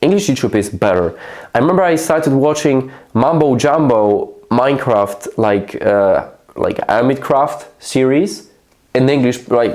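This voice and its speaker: Very wide pitch swings and very even loudness at a fairly slow pace, with a Polish accent. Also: man. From Poland. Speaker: YouTube creator. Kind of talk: casual vlog monologue. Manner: slow and halting.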